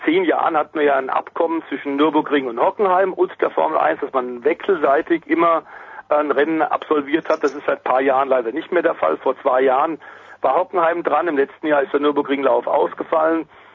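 Amid noticeable background noise, a man with a fairly high pitch talks at a fairly quick pace. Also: fairly even intonation. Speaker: motorsport commentator. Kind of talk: casual chat.

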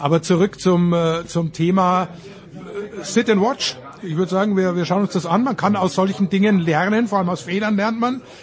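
This man's voice sits at a high pitch with ordinary pitch variation. He talks at a moderate pace. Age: old. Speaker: sports commentator. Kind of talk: casual chat.

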